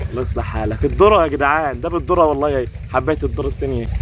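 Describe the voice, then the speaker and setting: Very fast speech with noticeable background noise. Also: man. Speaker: fishing vlogger. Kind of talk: casual chat. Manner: animated.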